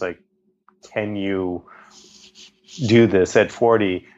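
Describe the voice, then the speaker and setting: A man with an American accent and fairly even intonation. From Boston, Massachusetts. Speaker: documentary director. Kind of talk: interview conversation. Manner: casual with many fillers.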